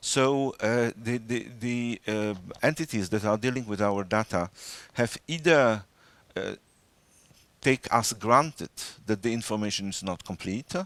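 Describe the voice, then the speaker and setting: In a dry, close sound with no echo and a very clean recording on a silent background, a man with a Polish accent talks with ordinary pitch variation and long, frequent pauses. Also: medium pitch for a man, fairly slow pace. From Poland. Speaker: data protection official. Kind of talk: interview. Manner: halting, many fillers.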